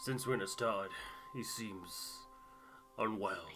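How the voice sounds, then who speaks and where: A man of medium pitch puts on a raspy character voice. Clear music plays in the background. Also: fairly slow pace. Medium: game stream.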